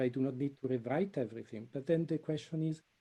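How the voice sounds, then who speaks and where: The speaker is a man with an Italian accent. His tone is dark and mellow, and he talks at a very fast pace. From Italy. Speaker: computer science professor. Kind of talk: webinar presentation.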